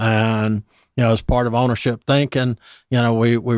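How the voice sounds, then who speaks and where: Medium-pitched male voice with a Southern US accent, flat monotone intonation, a dry, close sound with no echo, and a very clean recording over a silent background. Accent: Southern US (Georgia). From US South, Georgia (Dublin). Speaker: pest control company executive. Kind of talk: radio interview. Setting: radio studio.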